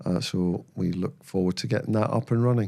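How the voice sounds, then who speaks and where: Moderate pace from a male speaker. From northern England, Berwick-upon-Tweed on the Scottish border. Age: 60s. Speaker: former footballer and mental health charity founder. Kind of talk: casual interview. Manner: hesitant, frequent fillers and repetitions.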